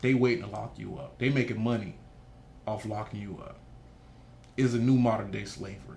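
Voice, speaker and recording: A man at a medium pitch speaks at a fairly quick pace with long, frequent pauses, ordinary pitch variation, big swings in loudness and audible room echo. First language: Haitian Creole. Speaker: nonprofit founder. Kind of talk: interview. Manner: animated.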